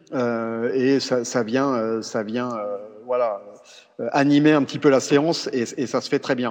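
Noticeable background noise under a man's fairly slow delivery. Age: 40s. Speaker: cycling coach. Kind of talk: interview. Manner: halting, many repetitions and fillers.

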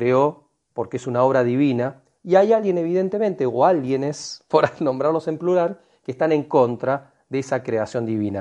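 Over a quiet background, a man talks at a moderate pace in a medium pitch. His tone is dark and mellow, with ordinary pitch variation. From Argentina. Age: 40s. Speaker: alternative health advocate. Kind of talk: online group discussion.

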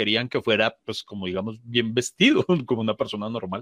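Someone with a Colombian accent talks at a very fast pace in a dry, close sound with no echo. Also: man. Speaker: comedian. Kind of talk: casual chat.

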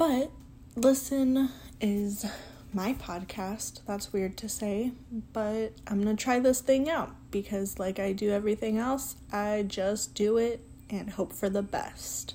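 Very slowly and somewhat breathily, a woman speaks at a fairly high pitch with a dark, mellow tone and ordinary pitch variation. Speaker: podcast host. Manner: casual, conversational, self-deprecating.

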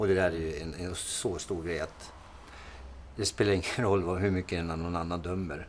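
A man talks in a very deep, low pitch with fairly even intonation. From Sweden, Timrå (Medelpad, Norrland). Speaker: podcast host, fitness coach. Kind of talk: casual chat.

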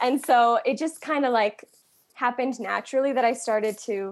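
With a Canadian accent, a woman has an unremarkable speaking voice, fairly high in pitch with ordinary pitch variation, talking at a moderate pace against a quiet background. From Central Ontario, Canada. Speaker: singer-songwriter. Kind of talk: casual interview.

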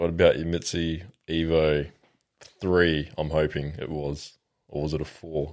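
Very deep, low male voice in a monotone, flat intonation, moderate in pace, with long, frequent pauses. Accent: Australian. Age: 20s. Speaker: podcast host. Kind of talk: casual chat.

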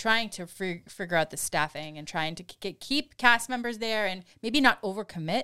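On a very clean recording with a silent background, a woman speaks with a bright, sharp tone and lively intonation. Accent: Boston. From Boston area, Massachusetts. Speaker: podcast co-host. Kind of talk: casual chat.

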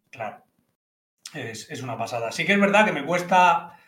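A man with a high voice talks at a moderate pace, with audible room echo around him. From Menorca, Spain. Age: 30s. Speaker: professional poker player. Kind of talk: casual chat.

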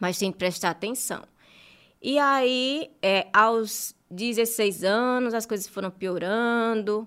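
On a very clean recording with a silent background, a woman with a fairly high pitch speaks at a very slow pace. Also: ordinary pitch variation. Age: 30s. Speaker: journalist and marketing specialist. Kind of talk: interview, personal testimony.

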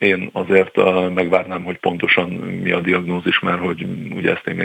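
Fairly quick speech from a man with a very deep, low pitch over noticeable background noise. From Hungary. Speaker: former footballer, football pundit. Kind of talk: radio interview.

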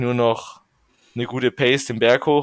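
A man in monotone, flat intonation at a moderate pace, dry and close with no echo, on a very clean recording with a silent background. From Bavaria, Regensburg (Upper Palatinate). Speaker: professional cyclist. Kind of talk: interview.

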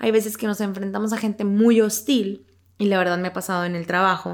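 Fairly high in pitch and fairly even in intonation, a woman talks in an ordinary speaking voice. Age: 20s. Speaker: podcast co-host. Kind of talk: casual chat about a book.

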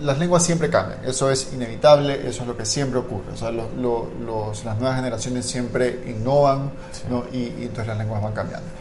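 A man's medium-pitched voice with fairly even intonation, noticeable background noise and audible room echo. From Guayaquil, Ecuador. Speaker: linguistics scholar. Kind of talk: educational conversation. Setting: live-streamed podcast.

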